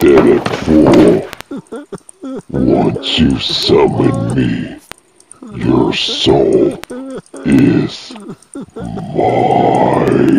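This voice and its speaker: A put-on character voice at a very slow pace, broken by long, frequent pauses. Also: man. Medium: audio drama. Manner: menacing.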